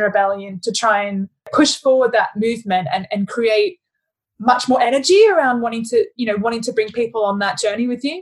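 A woman with a fairly high pitch speaks with an Australian accent. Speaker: podcast host, head of sustainability. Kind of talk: casual interview conversation.

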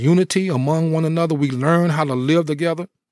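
A man speaks in a plain, everyday voice at a fairly high pitch, with ordinary pitch variation and a moderate pace. The recording is very clean with a silent background and a dry, close sound with no echo. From New Jersey. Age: 50s. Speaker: former pro football player. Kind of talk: interview conversation.

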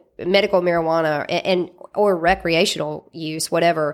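On a very clean recording with a silent background, a woman with a Southern US accent speaks at a moderate pace in a fairly low pitch. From Mississippi. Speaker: lawyer and cannabis company founder. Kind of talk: interview. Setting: studio.

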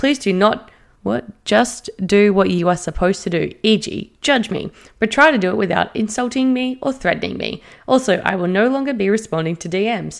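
With vocal fry and lively intonation, the speaker keeps a moderate pace. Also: woman, medium pitch for a woman. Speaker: podcast co-host. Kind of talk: casual chat, reading Reddit stories aloud. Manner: animated, excitable.

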